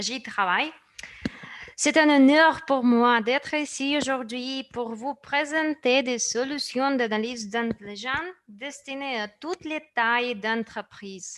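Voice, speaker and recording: At a very slow pace, a woman with a non-native accent speaks in a high pitch. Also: ordinary pitch variation. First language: not French (speaking French). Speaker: company presenter. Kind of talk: product presentation. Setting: online session.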